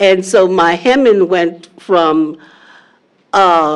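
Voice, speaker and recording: A woman with a New Orleans accent talks at medium pitch with lively intonation. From US South, New Orleans. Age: 70s. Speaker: quilter. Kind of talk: panel discussion. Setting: live-streamed panel event.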